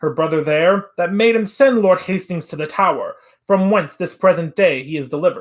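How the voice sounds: The voice reads aloud. It sounds like a natural reading voice.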